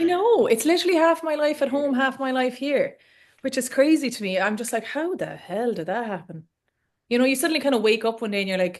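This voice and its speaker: A woman speaks with an Irish accent at a fairly quick pace. Her high voice swings very widely in pitch. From Ireland. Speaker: coach. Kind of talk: webinar host chat. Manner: fast.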